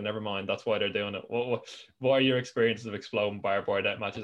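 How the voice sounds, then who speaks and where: Very fast speech from a man with a medium pitch and an Irish accent. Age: young. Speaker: podcast host. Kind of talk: casual chat. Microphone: new webcam.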